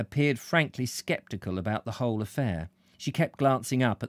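The speaker is reading aloud in a natural voice. The delivery is plain reading, nothing more.

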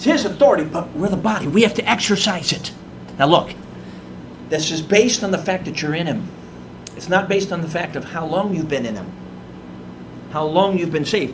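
This man talks at a fairly quick pace with an American accent and a high pitch. Noticeable background noise runs underneath. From Chicago, US Midwest. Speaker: evangelist. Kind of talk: sermon. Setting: church. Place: church. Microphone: podium.

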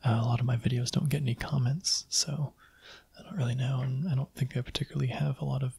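A soft-spoken man talks at a very fast clip, his tone dark and mellow and somewhat breathy. The pitch moves normally, and the sound is dry with no echo. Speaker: video creator. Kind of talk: casual vlog chat. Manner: soft-spoken, quiet close-mic voice. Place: home room. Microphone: studio mic.

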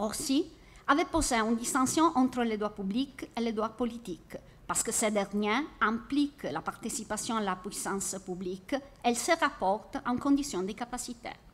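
A woman with an Italian accent, lively intonation and a moderate pace. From Italy. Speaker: university researcher. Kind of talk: academic conference paper. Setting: conference hall. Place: classroom. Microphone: podium.

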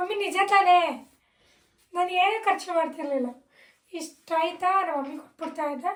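Extremely high in pitch, a woman speaks with ordinary pitch variation. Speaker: vlogger. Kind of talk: casual vlog talk.

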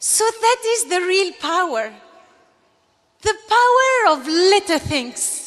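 A woman speaks at an extremely high pitch with very wide swings, at a very slow pace with long, frequent pauses. The background is quiet. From Algeria. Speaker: graduating student giving commencement speech. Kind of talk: graduation speech, earnest and polished, delivered to an audience. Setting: stage with audience. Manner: formal. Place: stage. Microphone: podium.

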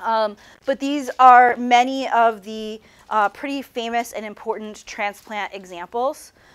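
The voice belongs to a woman. Her pitch shifts in an ordinary way. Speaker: university lecturer. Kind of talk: lecture. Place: classroom.

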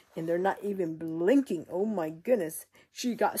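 Lively intonation over plain reading aloud

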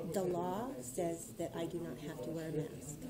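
At a moderate pace, a woman speaks with fairly low pitch and fairly even intonation.

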